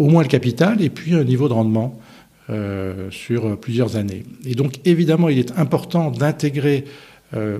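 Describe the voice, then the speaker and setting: A man's somewhat breathy, dark and mellow voice at a medium pitch, with lively intonation and a fairly slow pace. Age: 60s. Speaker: insurance investment director. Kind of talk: interview.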